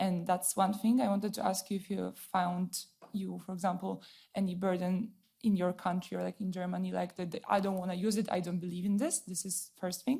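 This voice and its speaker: Somewhat breathy, a woman with a Polish accent speaks at a fairly quick pace and medium pitch in a dark, mellow tone. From Poland. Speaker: audience member asking a question. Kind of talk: audience question at a panel event. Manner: halting.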